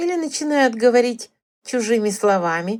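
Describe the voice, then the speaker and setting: A woman performs a put-on character voice. Her pitch sits fairly high. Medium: read story. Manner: sugary, insinuating.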